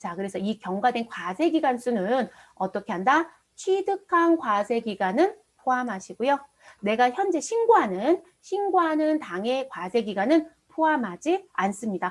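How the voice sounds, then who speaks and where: A woman speaks with a high pitch and very wide pitch swings. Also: fairly slow pace. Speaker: accounting and tax instructor. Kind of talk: lecture. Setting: online live class recording. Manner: engaging, frequent rhetorical questions to students.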